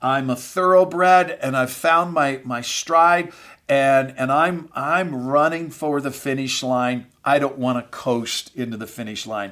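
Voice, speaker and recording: On a very clean recording with a silent background, a man with a fairly high pitch talks at a fairly slow pace, his bright, sharp, energetic tone showing ordinary pitch variation. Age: 50s. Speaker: pastor. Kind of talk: motivational podcast talk to ministry leaders. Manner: frequent fillers and repetitions.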